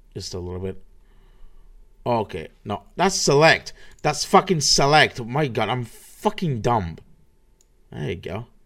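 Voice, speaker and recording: In a very clean recording with a silent background, the speaker uses vocal fry, very wide pitch swings and big swings in loudness at a fairly slow pace with long, frequent pauses. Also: man, medium pitch for a man. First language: Spanish. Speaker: podcast host. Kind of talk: solo livestream podcast, casual. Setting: live stream.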